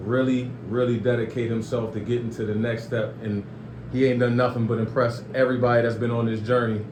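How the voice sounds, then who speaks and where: Over noticeable background noise, a man speaks fairly quickly at medium pitch in a monotone, flat intonation. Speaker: podcast host. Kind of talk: podcast interview, casual talk.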